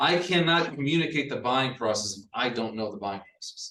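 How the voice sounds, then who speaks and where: A man speaks at a medium pitch. His tone is bright and sharp. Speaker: real estate agent and trainer. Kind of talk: training workshop. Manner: fast; hesitant, many fillers.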